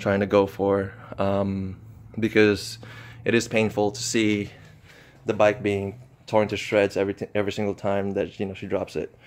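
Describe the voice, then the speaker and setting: Delivered at a fairly slow pace, the speech has monotone, flat intonation. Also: man. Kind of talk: casual product walkthrough. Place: garage. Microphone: phone near.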